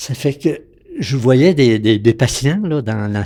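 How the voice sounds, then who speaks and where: This man has a dark, mellow tone and speaks at a fairly slow pace with ordinary pitch variation. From Quebec, Lac-Saint-Jean region. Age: 80s+. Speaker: retired physician. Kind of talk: interview storytelling. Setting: at his home.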